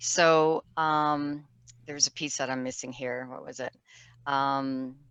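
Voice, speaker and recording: A woman speaks very slowly at a very deep, low pitch, in a monotone, flat intonation. Her loudness swings widely over a quiet background. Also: dry, close sound with no echo. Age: 60s. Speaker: near-death survivor sharing her story. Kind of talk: interview testimony. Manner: halting, self-correcting.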